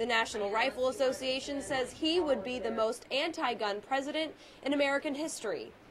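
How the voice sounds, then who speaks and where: Over noticeable background noise, a woman talks in a high voice at a fairly quick pace with ordinary pitch variation. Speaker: news anchor and reporter. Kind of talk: TV news read.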